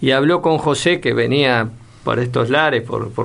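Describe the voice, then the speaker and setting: Over noticeable background noise, a man speaks at medium pitch and a moderate pace. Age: 60s. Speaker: senator. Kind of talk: radio interview. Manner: halting.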